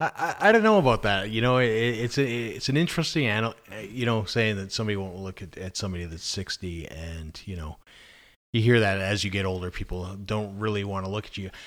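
On a very clean recording with a silent background, the speaker talks at a very fast pace, with big swings in loudness and ordinary pitch variation. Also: man, fairly low pitch for a man. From Scotland. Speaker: podcast co-host. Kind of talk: casual chat. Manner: halting, repeats words.

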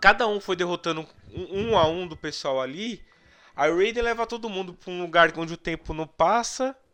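Against a quiet background, a man talks at a moderate pace in a high pitch with a bright, sharp tone, sounding animated, with ordinary pitch variation and big swings in loudness. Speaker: podcast host. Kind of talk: casual chat.

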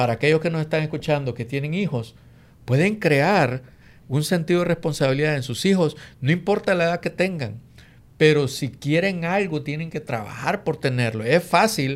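With a very clean recording and silent background, a man speaks in an ordinary speaking voice, fairly high in pitch, at a moderate pace with ordinary pitch variation. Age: 50s. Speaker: real estate investor and co-host. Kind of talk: casual chat.

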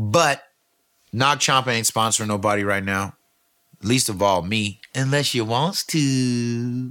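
A man's medium-pitched voice, bright and sharp in tone, with ordinary pitch variation. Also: fairly slow pace. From California. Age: 50s. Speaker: podcast host. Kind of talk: casual monologue. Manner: animated.

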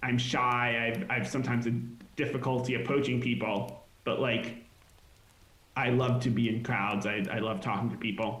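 Against noticeable background noise and audible room echo, a man with a medium pitch speaks at a moderate pace, keeping very even loudness and fairly even intonation. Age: 20s. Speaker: software project lead running for mayor. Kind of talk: casual chat.

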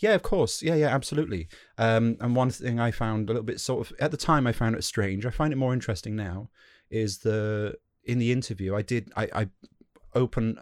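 This man talks with a British accent at a fairly quick pace. His pitch sits in the medium range, with ordinary variation. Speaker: podcast host. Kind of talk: casual interview. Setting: remote call.

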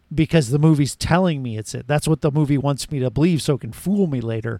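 A man with a plain, everyday voice, fairly high pitch, ordinary pitch variation and a fairly quick pace, on a very clean recording with a silent background and a dry, close sound with no echo. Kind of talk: casual banter podcast. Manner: joking, interrupting.

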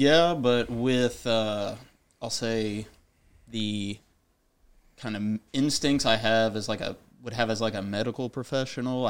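A plain, everyday voice from a man with an American accent, medium pitch, fairly slow pace and fairly even intonation on a very clean recording with a silent background. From rural Illinois. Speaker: national guard soldier, nursing student. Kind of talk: interview.

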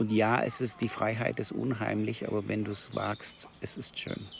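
A man's fairly low voice at a fairly slow pace, an unremarkable speaking voice. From Heidelberg / Kurpfalz region. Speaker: coach and climate organisation chair. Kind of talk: casual conversation. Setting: outdoors.

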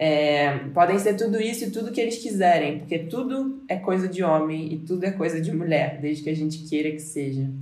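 With audible room echo, a woman speaks at a moderate pace in a very deep, low pitch with lively intonation. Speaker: podcast host. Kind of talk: casual chat.

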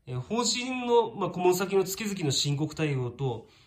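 A man's voice moves through very wide pitch swings over noticeable background noise. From Shizuoka, Japan. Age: 40s. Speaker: tax accountant. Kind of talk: monologue to camera. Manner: many fillers, hesitant.

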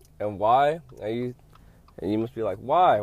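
Over music in the background, a man speaks fairly slowly with very wide pitch swings. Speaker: podcast host. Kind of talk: casual solo podcast. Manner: eating while talking.

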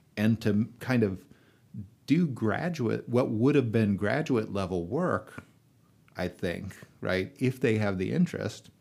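An unremarkable speaking voice moves at a fairly slow pace with lively intonation. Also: man. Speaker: English professor. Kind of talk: panel discussion. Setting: studio.

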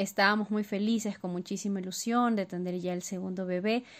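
A woman talks at a moderate pace in a normal speaking voice, with a medium pitch and fairly even intonation. The recording is very clean, with a silent background. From Ecuador. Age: 30s. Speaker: listener sharing story. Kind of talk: personal testimony. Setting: recorded voice message.

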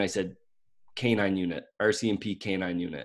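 Here is a man with a Maritime Canadian accent. His intonation stays fairly even. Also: very clean recording, silent background. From Canada, Nova Scotia. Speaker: dog trainer. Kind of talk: casual interview.

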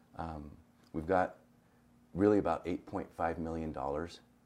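This man's voice has a very deep, low pitch. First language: Spanish. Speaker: school superintendent. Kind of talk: interview.

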